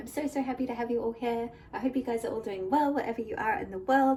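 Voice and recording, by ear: A dark, mellow tone at a fairly quick pace. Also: woman.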